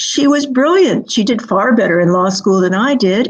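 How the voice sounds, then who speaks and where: Somewhat breathy and fairly high, a woman's voice moves at a moderate pace with lively intonation. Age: 70s. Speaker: author and keynote speaker. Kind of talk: interview.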